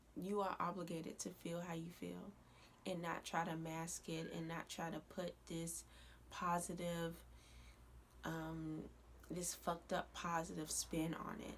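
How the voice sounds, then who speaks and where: A quiet woman's voice at a fairly slow pace, broken by long, frequent pauses. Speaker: YouTuber. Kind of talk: casual vlog rant. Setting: at home at night. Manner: quiet, low voice; hesitant with fillers.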